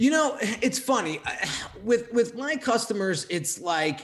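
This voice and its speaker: This man talks at a moderate pace. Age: 30s. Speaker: graphic designer and entrepreneur. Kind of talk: casual interview chat.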